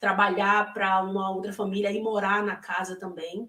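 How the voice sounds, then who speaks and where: Speaking at a fairly slow pace, a woman uses a medium pitch and a bright, sharp tone. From Brazil, Salvador, Bahia (Northeast). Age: 30s. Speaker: former au pair, interviewee. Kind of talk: interview. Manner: hesitant, many fillers.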